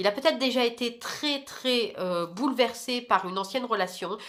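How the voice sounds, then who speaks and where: A woman is speaking. Her pace is moderate. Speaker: tarot card reader. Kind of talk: tarot reading monologue. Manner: hesitant, many fillers.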